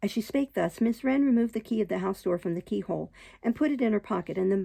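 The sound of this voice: Lively intonation in an unforced reading voice.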